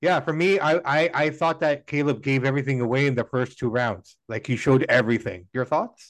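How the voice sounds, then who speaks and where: A man talks in a plain, everyday voice, pitched fairly high, at a fairly quick pace with hardly any pauses. His pitch varies in an ordinary way, and the background is quiet. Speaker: podcast host. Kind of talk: casual interview chat.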